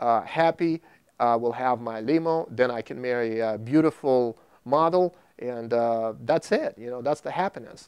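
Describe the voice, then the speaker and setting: With a Russian accent and ordinary pitch variation, the speaker is heard in a dry, close recording with no echo against a quiet background. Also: man. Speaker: video producer. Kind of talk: testimony. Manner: halting.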